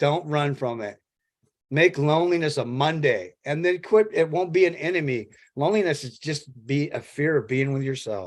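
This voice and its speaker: A man's normal speaking voice, fairly high in pitch, with lively intonation at a moderate pace. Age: 60s. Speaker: recovery group participant. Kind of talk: sharing in an online group call.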